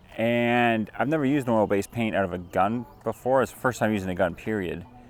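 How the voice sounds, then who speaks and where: Music plays behind a man with a Canadian accent and a fairly low pitch. His intonation is lively and his pace moderate. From Canada. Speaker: homesteading and how-to youtuber. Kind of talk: casual product review to camera. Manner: hushed; animated.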